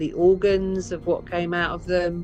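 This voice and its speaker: Music sits behind a woman with an English accent whose pitch is fairly low. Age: 50s. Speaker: ritual abuse survivor. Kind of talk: testimony interview answer.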